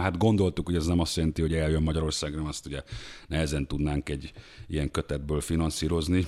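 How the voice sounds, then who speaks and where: Against a silent background in a very clean recording, a man speaks at a very fast pace. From Hungary. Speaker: book translator and music journalist. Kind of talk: casual interview chat.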